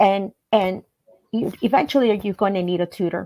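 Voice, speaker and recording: A woman's voice at a moderate pace. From El Salvador, raised in Baltimore County, Maryland. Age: 50s. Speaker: language teacher. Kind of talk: radio interview. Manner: halting, many fillers and repetitions.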